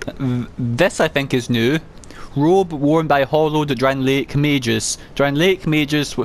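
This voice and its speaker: A man speaks at a fairly high pitch with fairly even intonation and very even loudness over noticeable background noise. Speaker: gaming let's play creator. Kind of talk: gameplay commentary with item descriptions read aloud. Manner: halting, repeated sounds on S and W.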